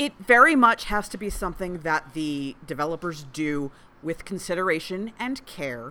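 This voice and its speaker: At a moderate pace, a woman with a fairly low pitch speaks with very wide pitch swings and big swings in loudness, in a very clean recording with a silent background. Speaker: podcast co-host. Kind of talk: casual banter.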